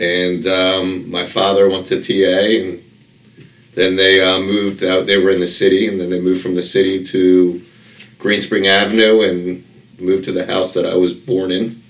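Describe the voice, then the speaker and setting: A man with an American accent talks at a moderate pace in a very deep, low pitch, his intonation monotone and flat. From Baltimore, Maryland. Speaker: real estate investor. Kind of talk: interview. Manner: conversational, many fillers.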